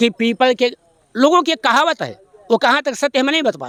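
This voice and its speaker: The sound is dry and close, with no echo. A man talks with ordinary pitch variation. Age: 70s. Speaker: retired headmaster, local villager. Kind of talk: on-the-spot news interview. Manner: formal.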